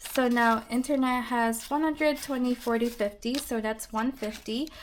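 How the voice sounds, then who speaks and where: Against noticeable background noise, a high-pitched woman speaks at a moderate pace with fairly even intonation. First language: not English. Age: 20s. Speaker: budgeting vlogger, nurse. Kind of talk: casual vlog narration. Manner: calm, gentle.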